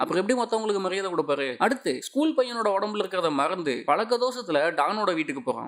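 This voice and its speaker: A man speaks in a high pitch with very wide pitch swings over noticeable background noise. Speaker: movie recap narrator. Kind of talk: movie recap narration.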